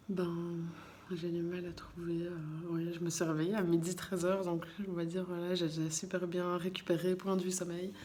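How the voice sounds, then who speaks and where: Soft-spoken and fairly low-pitched, a woman talks in a monotone, flat intonation amid noticeable background noise and audible room echo. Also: moderate pace. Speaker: vlogger. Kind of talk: casual vlog talk to camera. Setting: in a car, then at home at night. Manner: halting, many hesitations.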